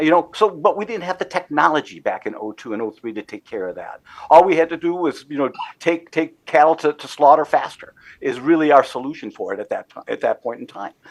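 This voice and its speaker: A fairly high-pitched male voice with vocal fry, a fairly quick pace and big swings in loudness. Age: 60s. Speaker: commodities trader and business executive. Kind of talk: interview. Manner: repetitive, halting starts.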